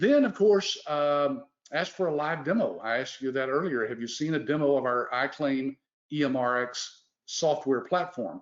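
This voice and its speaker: With a Texas accent, a man speaks at a moderate pace and fairly high pitch, with ordinary pitch variation. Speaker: business owner hosting a sales webinar. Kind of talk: sales pitch. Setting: live webinar.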